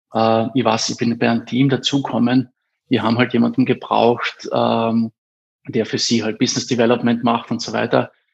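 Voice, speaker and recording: A man talks in a monotone with flat intonation, keeping a moderate pace. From Austria, Carinthia (Eberndorf). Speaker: education startup founder. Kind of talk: interview. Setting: studio. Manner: hesitant, many fillers.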